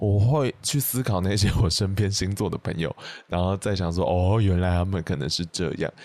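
A man with a very deep, low pitch speaks in a Taiwanese accent at a moderate pace, with ordinary pitch variation against a quiet background. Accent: Taiwanese Mandarin. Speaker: podcast host. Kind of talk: casual chat.

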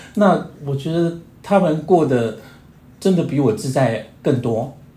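Lively intonation comes through along with audible room echo. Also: man. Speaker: long-term HIV patient. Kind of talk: casual chat.

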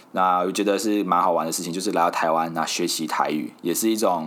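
A man talks with a Malaysian accent. His pitch is very deep and low. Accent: Malaysian Mandarin. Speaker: podcast host. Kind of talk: casual solo podcast monologue.

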